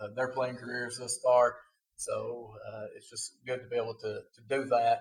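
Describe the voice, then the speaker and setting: Loudness swings widely as a man with an Appalachian accent speaks at a moderate pace. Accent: Appalachian Southern US. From Kentucky (eastern mountains, then Somerset). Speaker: podcast host, youth sports coach. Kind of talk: casual podcast chat. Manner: hesitant, many filler words.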